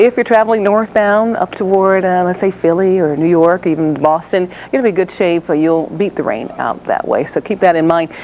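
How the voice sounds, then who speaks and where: A woman talks in a normal speaking voice at a medium pitch. Her pace is fairly quick, with ordinary pitch variation. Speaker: traffic reporter. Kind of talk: TV traffic report. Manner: upbeat, fast, professional.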